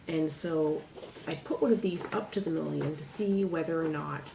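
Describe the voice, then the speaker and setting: A woman speaks with a very deep, low pitch and ordinary pitch variation, with audible room echo and noticeable background noise. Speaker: DIY crafts vlogger. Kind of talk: tutorial. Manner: chatty, rambling.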